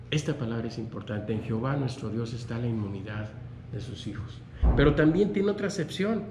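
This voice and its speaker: Room echo is audible. A man speaks at a moderate pace. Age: 60s. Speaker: preacher. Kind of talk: sermon. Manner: halting.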